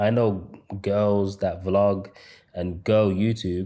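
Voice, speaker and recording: A man's fairly low voice with a British accent and a dark, mellow tone. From England, Birmingham. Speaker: YouTube growth coach. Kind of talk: online course lecture. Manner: stutters at times; casual, halting with repetitions.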